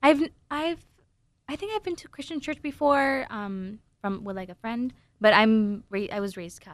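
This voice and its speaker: A woman speaks in a normal speaking voice at a fairly high pitch and a moderate pace, with lively intonation and big swings in loudness. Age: 20s. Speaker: comedian.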